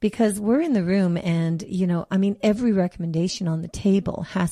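An ordinary speaking voice comes from a woman talking at a moderate pace with fairly even intonation. The sound is dry and close, with no echo. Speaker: radio host. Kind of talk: radio host patter. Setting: radio studio. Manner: brisk, chatty, promotional.

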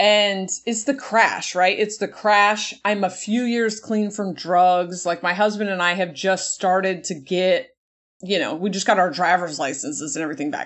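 In an ordinary speaking voice, a woman talks at a moderate pace with a medium pitch and ordinary pitch variation. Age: 40s. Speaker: comedian. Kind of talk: casual chat.

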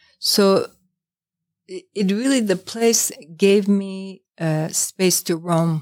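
A woman's medium-pitched voice in an American accent, very slow, with long, frequent pauses and ordinary pitch variation. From New York. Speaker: tea shop owner. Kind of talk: interview.

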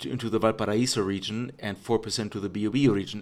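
Fairly low in pitch and fairly quick in pace, the man has a plain, everyday voice. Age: 40s. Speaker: podcast host. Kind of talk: casual chat.

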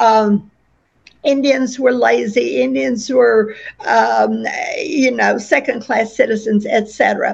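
With an Oklahoma accent, a woman talks at a very slow pace with very even loudness. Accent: Oklahoma US Southern-Midwestern. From western Oklahoma. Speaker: author, retired teacher. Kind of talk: interview. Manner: halting, with fillers and repeats.

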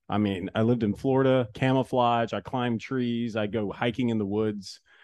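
At medium pitch and a moderate pace, a man talks in an unremarkable speaking voice. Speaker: podcast host, former baseball player and broadcaster. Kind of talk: casual chat. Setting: home recording.

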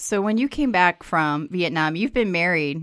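A normal speaking voice from a woman of medium pitch with lively intonation, on a very clean recording with a silent background. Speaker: podcast co-host. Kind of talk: interview.

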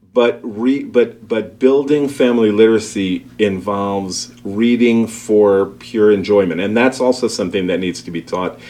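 A man speaks with an American accent. His voice sits fairly low, with a dark, mellow tone. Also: ordinary pitch variation, moderate pace. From Brooklyn, New York. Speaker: school principal. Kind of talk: interview.

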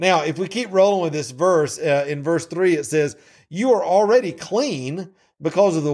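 In a very clean recording with a silent background, a man speaks at a moderate pace with a high pitch and lively intonation. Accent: Southern US. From US South. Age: 50s. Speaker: Bible teacher. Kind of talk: Bible teaching. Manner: halting.

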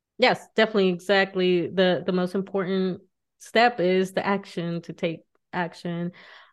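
A woman has a plain, everyday voice at medium pitch with fairly even intonation. She speaks at a moderate pace against a quiet background. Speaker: podcast host. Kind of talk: casual interview chat.

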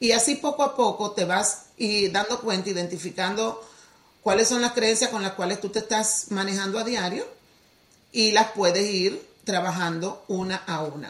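A woman's plain, everyday voice at a medium pitch, with ordinary pitch variation and a moderate pace. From Dominican Republic. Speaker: teacher and healing coach. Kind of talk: podcast interview.

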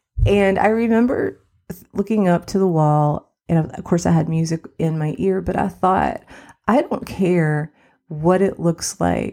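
A soft-spoken woman with a warm, dark, mellow tone, fairly low in pitch, with ordinary pitch variation, at a fairly slow pace. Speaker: success coach and podcast host. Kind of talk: solo podcast monologue, casual and conversational. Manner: soft-spoken, quiet; warm, chatty, laughs often.

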